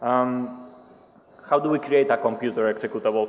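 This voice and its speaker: With noticeable background noise behind him, a man of medium pitch speaks with a Spanish accent. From Spain. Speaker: penetration tester presenting at a security conference. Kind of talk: conference talk. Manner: hesitant, many fillers.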